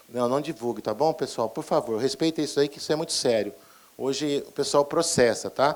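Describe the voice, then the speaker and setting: A man with a fairly high voice talks fairly quickly, his pitch moving in an ordinary way. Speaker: pharmacist trainer. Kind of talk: lecture. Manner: fast.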